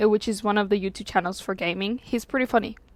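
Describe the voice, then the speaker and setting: A woman with a non-native accent talks at a fairly high pitch with ordinary pitch variation. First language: not English. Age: 20s. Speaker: YouTuber giving life advice. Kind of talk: casual vlog monologue. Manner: halting, many fillers.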